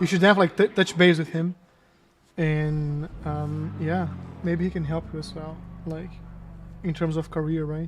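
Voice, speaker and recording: A man's fairly high-pitched, monotone, flat delivery at a moderate pace, with a Portuguese accent. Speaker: sim racing streamer. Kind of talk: casual live-stream chat. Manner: filler-heavy, casual.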